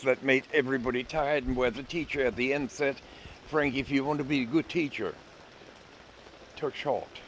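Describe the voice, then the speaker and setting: A man speaks at a fairly high pitch with fairly even intonation. Noticeable background noise runs behind him. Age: 70s. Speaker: psychologist and life coach. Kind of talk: casual talk to camera. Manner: unhurried, with hesitations.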